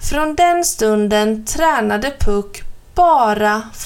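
It is an unforced reading voice with lively intonation.

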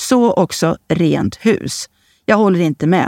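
At a fairly slow pace, a woman's dry, close voice, with no echo, comes through a very clean recording with a silent background. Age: 40s. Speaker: columnist. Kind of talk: reading aloud of own columns.

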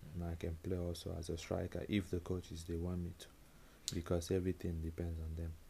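This voice has a dark, mellow tone, somewhat breathy, moving at a moderate pace. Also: man. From Nigeria. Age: 20s. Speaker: professional footballer. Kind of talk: interview.

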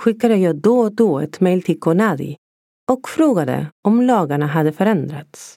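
Her tone dark and mellow, a woman speaks at a moderate pace with very wide pitch swings and very even loudness, in a dry, close sound with no echo. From Argentina. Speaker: podcaster telling her adoption story. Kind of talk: scripted memoir narration.

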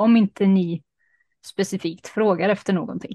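Speaking with a plain, everyday voice, a woman keeps a moderate pace, a medium pitch and fairly even intonation. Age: 30s. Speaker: podcast co-host. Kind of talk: casual chat. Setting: video call.

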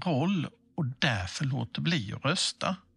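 Against a quiet background, a man's somewhat breathy voice swings very widely in pitch, with a dry, close sound and no echo. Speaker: civic information presenter. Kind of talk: scripted explainer dialogue. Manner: slow.

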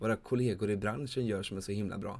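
Fairly low in pitch, a man's plain, everyday voice keeps a fairly even intonation. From Sweden, Småland (Vimmerby). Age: 30s. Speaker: podcast host, campsite owner. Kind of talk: solo podcast monologue.

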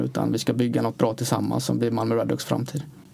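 A man speaks over noticeable background noise. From Uddevalla area, Bohuslän, western Sweden. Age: 30s. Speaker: ice hockey sports director. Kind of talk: interview.

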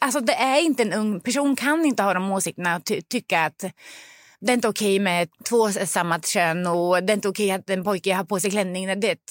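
A woman's medium-pitched voice at a very fast pace, with ordinary pitch variation, in a very clean recording with a silent background. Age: 40s. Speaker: parent. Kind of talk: casual chat. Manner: animated.

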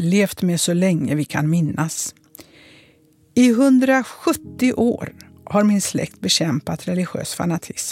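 Lively intonation from a woman at a very slow pace. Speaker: former politician. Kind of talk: first-person narration.

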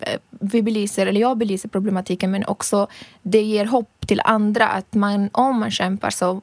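A woman with a non-native accent and medium pitch, speaking fairly slowly with fairly even intonation in a dry, close sound with no echo. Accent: foreign accent in Swedish. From Libya. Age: 30s. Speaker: reporter. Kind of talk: casual chat. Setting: studio.

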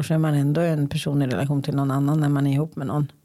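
In a very deep, low voice with a dark, mellow tone, a woman speaks at a very fast pace. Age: 50s. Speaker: podcast host. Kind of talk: casual chat.

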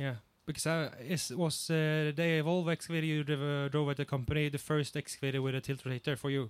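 The speaker talks at a very fast pace with a Swedish accent, in a flat monotone at a very even loudness. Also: man, fairly high pitch for a man. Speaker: podcast host and excavator operator. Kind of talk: casual podcast chat. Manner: hesitant, filler-heavy.

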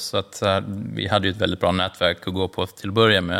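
A man speaks with vocal fry. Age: 40s. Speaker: wine merchant. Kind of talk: interview.

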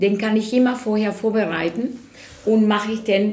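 A woman with a Spanish accent speaks at a moderate pace, with audible room echo and noticeable background noise. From Venezuela. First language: Spanish (speaking German). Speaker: artist. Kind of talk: interview.

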